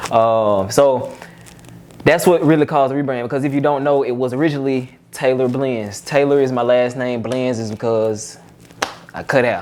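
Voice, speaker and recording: A man speaks at medium pitch with fairly even intonation. Noticeable background noise and audible room echo surround him. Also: moderate pace. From Georgia, US South. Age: 20s. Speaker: barber and motivational speaker. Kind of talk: casual interview.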